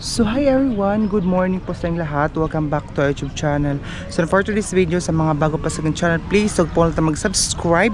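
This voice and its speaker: A woman at a very fast pace with fairly low pitch, ordinary pitch variation and hardly any pauses, plus noticeable background noise. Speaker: vlogger. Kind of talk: casual vlog. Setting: outdoors at a market. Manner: weak, low energy.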